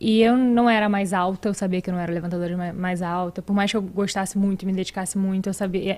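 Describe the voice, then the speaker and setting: A woman talks at a very fast pace with hardly any pauses. Her intonation stays fairly even. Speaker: podcast guest. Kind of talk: interview answer. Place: studio. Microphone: studio mic.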